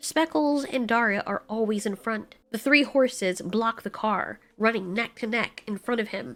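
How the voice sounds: The reading voice is natural, and its pitch varies in an ordinary way.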